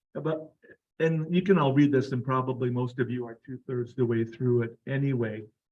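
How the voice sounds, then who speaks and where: The voice of a man, somewhat breathy. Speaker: doctor. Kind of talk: lecture. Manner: soft-spoken.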